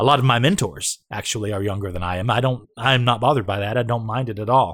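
A man's medium-pitched voice with ordinary pitch variation, at a fairly quick pace, on a very clean recording with a silent background. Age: 50s. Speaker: podcaster. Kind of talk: casual monologue. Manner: rambling, hesitant with fillers.

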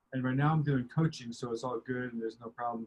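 A man speaks with a monotone, flat intonation. His medium-pitched voice is somewhat breathy. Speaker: business coach for coaches. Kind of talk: interview conversation.

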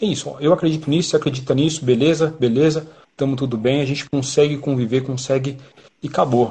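A somewhat breathy man races along at a very fast pace, his fairly high pitch held to fairly even intonation. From São Paulo, Brazil (south zone). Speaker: band drummer. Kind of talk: casual interview chat. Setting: online live stream.

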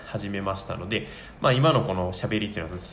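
There is audible room echo and noticeable background noise while a man talks. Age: 20s. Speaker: office worker and hobby blogger/YouTuber. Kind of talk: casual solo talk radio monologue. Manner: halting, many fillers.

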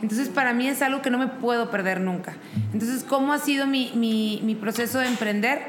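Noticeable background noise and audible room echo accompany fairly even intonation. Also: woman, high pitch for a woman, fairly quick pace. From Mexico, Monterrey. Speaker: event business owner and mother. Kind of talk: interview conversation. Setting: coworking space.

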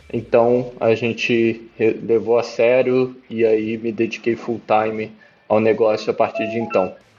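Music plays in the background as a man speaks at a fairly slow pace. His medium-pitched voice has a monotone, flat intonation. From Brazil (moved around several regions, born in Peru). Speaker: startup CEO. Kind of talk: interview.

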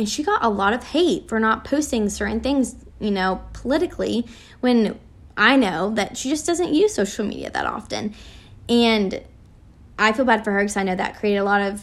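Speaking at a moderate pace, a woman has a plain, everyday voice with fairly high pitch and ordinary pitch variation. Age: 20s. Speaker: podcast host. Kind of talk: solo reflective monologue. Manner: casual, many fillers.

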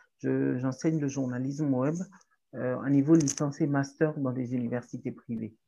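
Dark and mellow, a woman's very deep, low voice moves at a moderate pace with monotone, flat intonation. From Togo (Lomé). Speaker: writer, activist and journalism lecturer. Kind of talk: interview conversation. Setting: in person in Lomé.

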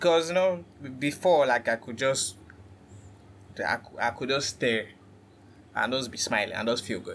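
With lively intonation and big swings in loudness, a man at a medium pitch talks at a moderate pace, broken by long, frequent pauses. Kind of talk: casual chat. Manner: dim, subdued tone; halting, repeats words.

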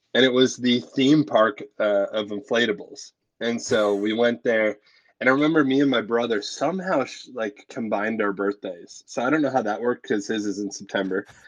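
An unremarkable speaking voice with a Canadian accent, a fairly quick pace and ordinary pitch variation. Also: man, medium pitch for a man. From Canada, Ontario. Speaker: pastor and podcast co-host. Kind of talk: casual chat.

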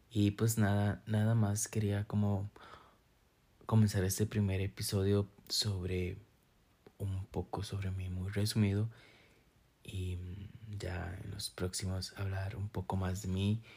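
Very slow and full of long, frequent pauses, a man's fairly low, somewhat breathy voice has a dark, mellow tone and monotone, flat intonation. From Costa Rica, San Carlos. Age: 20s. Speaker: podcast host. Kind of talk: casual monologue. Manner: hesitant, many fillers.

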